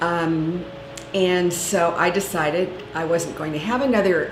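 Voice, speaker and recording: A woman with a fairly low pitch is heard with audible room echo and noticeable background noise. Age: 60s. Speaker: patient. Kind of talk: testimony.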